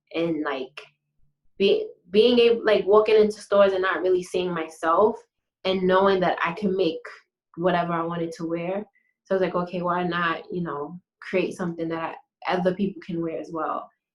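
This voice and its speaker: Her pitch sits in the medium range as this woman talks at a moderate pace with fairly even intonation. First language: French. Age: young. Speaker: fashion designer, business owner. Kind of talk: interview. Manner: halting.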